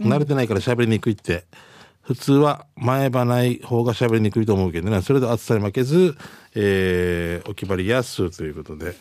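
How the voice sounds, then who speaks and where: In a very clean recording with a silent background, a man with a normal speaking voice talks at a fairly quick pace, his medium pitch carried by lively intonation. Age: 40s. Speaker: radio host. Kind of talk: casual chat.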